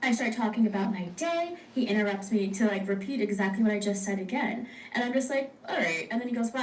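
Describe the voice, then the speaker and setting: A woman rattles off her words very fast while noticeable background noise carries on. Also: fairly high pitch for a woman, ordinary pitch variation. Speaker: storyteller recounting a date.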